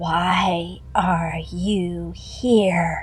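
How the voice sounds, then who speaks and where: Against clear background noise, a woman does a put-on character voice that is quiet, raspy, and growling. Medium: read story. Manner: menacing.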